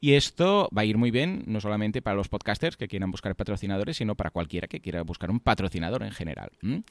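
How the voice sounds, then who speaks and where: A man's very fast, fairly low voice with lively intonation and hardly any pauses, on a very clean recording with a silent background and a dry, close sound with no echo. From Catalonia. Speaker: podcast host. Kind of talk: casual chat. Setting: hotel room.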